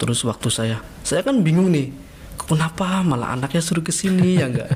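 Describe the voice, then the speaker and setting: Noticeable background noise sits behind a man speaking. His pitch is fairly high, with ordinary variation. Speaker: former pesantren student. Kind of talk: casual interview. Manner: animated storytelling.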